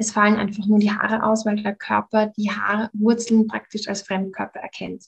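The woman's pitch is fairly high and her voice somewhat breathy. She talks at a moderate pace. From Austria, Vienna. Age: 30s. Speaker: happiness coach. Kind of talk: podcast interview.

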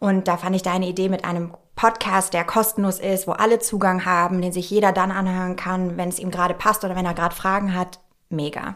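At a fairly quick pace, a woman with a medium pitch talks in a monotone, flat intonation. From Nuremberg, Franconia. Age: 30s. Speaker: dermatologist, podcast co-host. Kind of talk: casual chat.

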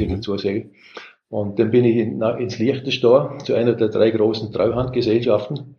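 With a Vorarlberg accent, a man speaks at a moderate pace and medium pitch. His voice is somewhat breathy, its intonation fairly even. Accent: Vorarlberg dialect, sounds foreign to Swiss. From Austria, Vorarlberg. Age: 60s. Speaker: software company founder and CEO. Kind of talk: interview.

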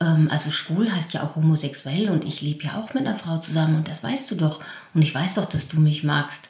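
A woman with a very deep, low voice speaks at a fairly quick pace with ordinary pitch variation. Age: 50s. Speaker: primary school teacher. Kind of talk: casual interview conversation.

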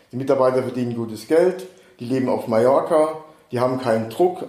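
With audible room echo and noticeable background noise, a man talks fairly quickly at a medium pitch. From Saarland, Germany. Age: 60s. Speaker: real estate agent. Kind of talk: casual interview. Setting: in person on Mallorca.

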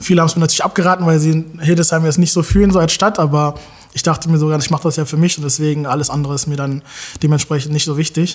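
Delivered at a very fast pace, the speech stays monotone and flat over noticeable background noise. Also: man, fairly high pitch for a man. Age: 30s. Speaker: creative director. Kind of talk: casual interview.

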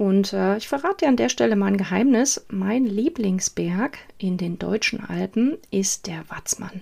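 A woman with a normal speaking voice talks at a medium pitch and a fairly slow pace. Her intonation is lively, with hardly any pauses. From eastern Germany, Saxony. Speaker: copywriter and podcast host. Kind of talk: solo podcast monologue.

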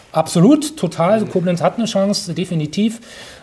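Fairly even intonation from a male speaker, with noticeable background noise behind. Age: 40s. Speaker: real estate developer. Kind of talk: interview. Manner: hesitant with many fillers.

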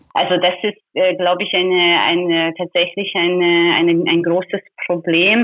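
A woman's fairly low voice in a Hungarian accent, flat and monotone, at a moderate pace with very even loudness. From Hungary. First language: Hungarian (speaking German). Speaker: labour activist. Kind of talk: interview. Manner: hesitant, many fillers.

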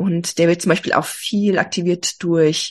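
Here a woman talks. There is a somewhat breathy quality to her voice. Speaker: health coach. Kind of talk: interview.

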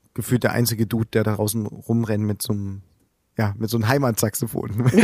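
In a very clean recording with a silent background, a man talks at a fairly quick pace. His fairly low voice has a dark, mellow tone and monotone, flat intonation. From Saxony, eastern Germany (Plauen, Vogtland). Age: 30s. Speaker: musician. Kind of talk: interview.

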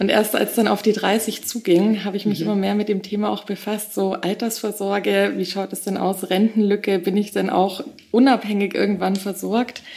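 There is noticeable background noise as a woman speaks at a medium pitch and a moderate pace in a flat monotone. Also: hardly any pauses. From Bavaria, Augsburg. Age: 30s. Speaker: young property investor. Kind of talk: interview.

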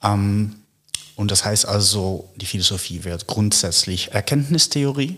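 Speaking very slowly with a Dutch accent, a man uses a fairly low pitch and ordinary pitch variation. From Netherlands. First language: Dutch (speaking German). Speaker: philosopher. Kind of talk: intellectual conversation.

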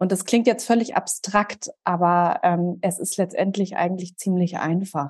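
In an ordinary speaking voice, a woman talks at a fairly slow pace with hardly any pauses, a medium pitch and fairly even intonation. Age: 30s. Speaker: systemic counsellor and trauma-sensitive coach. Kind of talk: podcast interview.

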